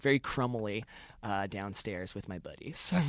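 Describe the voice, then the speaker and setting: On a very clean recording with a silent background, a speaker with an American accent talks at a moderate pace. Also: man. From Connecticut, US. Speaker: comedian and writer. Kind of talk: casual interview chat. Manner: halting, many fillers and restarts.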